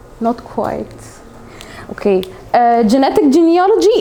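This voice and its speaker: Noticeable background noise sits behind speech in an Arabic accent with very wide pitch swings. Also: woman. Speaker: English teacher. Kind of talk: classroom lesson. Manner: halting, many fillers.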